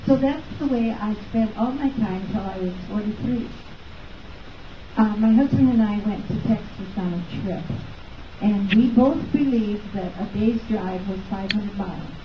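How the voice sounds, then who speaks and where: With noticeable background noise and audible room echo, a woman speaks at a moderate pace in a fairly high pitch with ordinary pitch variation. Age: 80s+. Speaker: chiropractic patient giving testimonial. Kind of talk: testimony. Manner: halting, many fillers.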